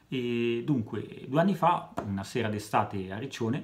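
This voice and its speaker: Somewhat breathy, the speaker talks at a fairly slow pace with lively intonation. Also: man. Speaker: comedian. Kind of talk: stand-up comedy monologue. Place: home room. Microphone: phone near.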